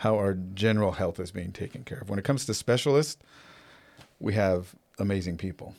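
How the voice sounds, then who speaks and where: The speaker has an ordinary speaking voice at a moderate pace. It is a very clean recording with a silent background. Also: man. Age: 50s. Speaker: nursing home administrator and gym owner. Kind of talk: casual interview conversation. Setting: studio, in person.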